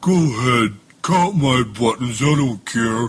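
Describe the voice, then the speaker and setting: Using a put-on character voice, a man talks fairly slowly at a medium pitch with lively intonation. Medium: read story. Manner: gruff.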